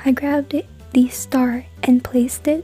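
Music plays in the background of a dry sound with no echo. The talking moves at a moderate pace. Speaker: craft vlogger. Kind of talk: casual vlog narration.

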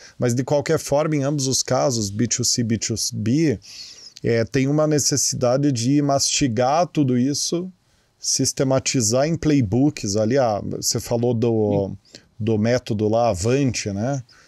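Man with a dark, mellow tone at a very slow pace, ordinary pitch variation and a quiet background. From Brazil. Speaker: podcast host. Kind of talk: interview. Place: studio. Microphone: studio mic.

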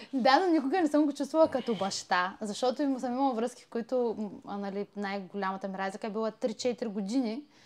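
At a fairly quick pace, a woman with a fairly high pitch speaks in an ordinary speaking voice with lively intonation. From Bulgaria, Elhovo. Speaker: podcast host. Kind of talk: interview. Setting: home studio.

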